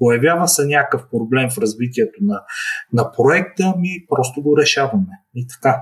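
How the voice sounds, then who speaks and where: There's a somewhat breathy sound to this man's speech. His pitch is fairly high. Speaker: startup founder. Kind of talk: online interview.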